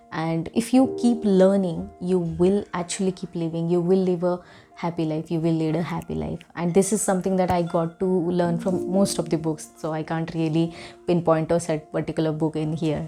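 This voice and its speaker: A woman's fairly low voice with a Marathi accent, moderate in pace and fairly even in intonation, over music in the background. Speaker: book vlogger. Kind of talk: casual monologue. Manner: hesitant, many fillers.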